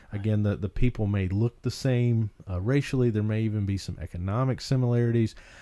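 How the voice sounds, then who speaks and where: A man with a North Carolina accent talks at a fairly quick pace, his fairly low voice dark and mellow in tone. His intonation stays fairly even against a quiet background. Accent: Southern US, North Carolina foothills. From rural North Carolina foothills. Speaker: podcast host, ministry leader. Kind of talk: podcast discussion about ministry. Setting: studio. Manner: uses many filler words.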